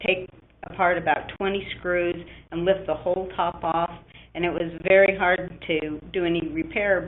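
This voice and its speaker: A woman with a fairly low pitch and monotone, flat intonation. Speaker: application scientist manager. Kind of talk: webinar presentation. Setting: online webinar.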